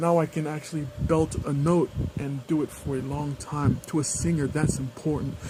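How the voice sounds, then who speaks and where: Noticeable background noise sits behind a man speaking at a moderate pace. His fairly high pitch stays monotone, with flat intonation. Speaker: video blogger on weight-loss surgery. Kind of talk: casual personal vlog. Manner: halting, many fillers.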